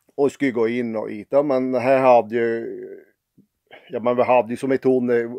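Against a quiet background, a man with a Norrbotten accent speaks at a moderate pace. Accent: Piteå dialect (pitemål). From Piteå, northern Sweden. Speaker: dialect storyteller. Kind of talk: humorous anecdote told in dialect. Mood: wry, humorous musing. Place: home room. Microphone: phone near.

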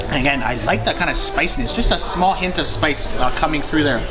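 A man talks at a moderate pace. Music plays clearly in the background. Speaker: food vlogger. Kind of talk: food review commentary. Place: cafe.

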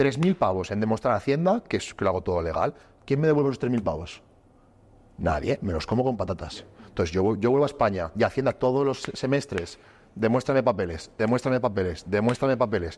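A man's fairly quick speech with lively intonation. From Spain. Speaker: entrepreneur; podcast co-host. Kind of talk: casual chat. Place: gym. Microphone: lapel.

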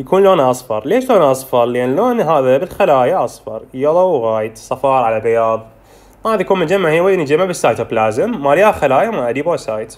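The man's voice sits fairly high and swings very widely in pitch. He talks at a fairly quick pace. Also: hardly any pauses. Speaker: medical tutor. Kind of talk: lecture. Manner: informal, code-switching Arabic and English terms.

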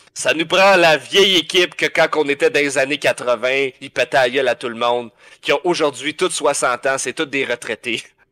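A man's fairly high, bright, sharp voice with a Quebec accent, ordinary pitch variation and a moderate pace. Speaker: podcast co-host. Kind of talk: casual chat. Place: home room.

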